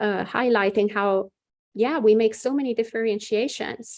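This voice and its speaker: A woman speaks with an Italian accent at a moderate pace. Her fairly high voice has a dark, mellow tone and fairly even intonation. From Italy. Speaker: Buddhist nun. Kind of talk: dharma talk. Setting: video call. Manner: hesitant, many fillers.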